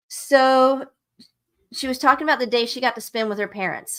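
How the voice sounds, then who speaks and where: In a very clean recording with a silent background, a woman with a Southern US accent talks with ordinary pitch variation. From US South. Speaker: book club livestream host. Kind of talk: live stream book discussion, reading aloud excerpts. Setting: live stream. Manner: casual, conversational.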